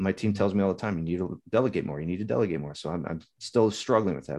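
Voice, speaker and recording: In an American accent, a man talks at a fairly quick pace with an unremarkable speaking voice and ordinary pitch variation. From Southern California. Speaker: navy veteran and business owner. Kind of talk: casual interview.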